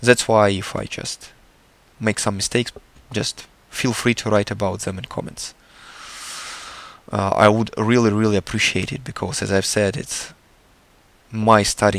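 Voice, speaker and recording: A man with a Russian accent speaks at a moderate pace and a fairly low pitch. His intonation is monotone and flat, broken by long, frequent pauses. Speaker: artist. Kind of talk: tutorial. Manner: halting.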